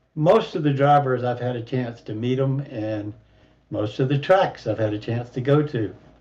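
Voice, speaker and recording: The speaker is a man with a somewhat breathy voice. His pitch is medium and varies in an ordinary way. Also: moderate pace. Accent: American. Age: 70s. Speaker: sim racing driver. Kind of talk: casual chat.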